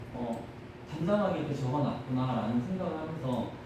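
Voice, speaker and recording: Noticeable background noise and audible room echo surround the voice. The speech moves at a fairly quick pace. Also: man. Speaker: lay preacher giving a sermon. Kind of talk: sermon. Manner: fast.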